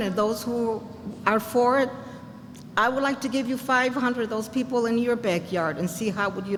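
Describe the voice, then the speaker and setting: Amid noticeable background noise and audible room echo, a woman with a fairly high pitch speaks at a moderate pace with ordinary pitch variation. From Puerto Rico. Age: 80s+. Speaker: senior resident speaking at community meeting. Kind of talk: public comment at community meeting. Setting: community meeting.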